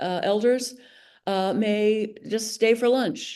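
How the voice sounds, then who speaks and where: A woman's fairly high voice, dark and mellow in tone, fairly even in intonation, at a fairly slow pace. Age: 70s. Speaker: arts nonprofit board chair. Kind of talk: legislative committee testimony.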